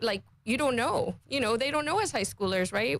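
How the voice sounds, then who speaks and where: A woman speaks with a Caymanian accent. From Cayman Islands. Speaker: finance industry association representative. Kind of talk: radio interview.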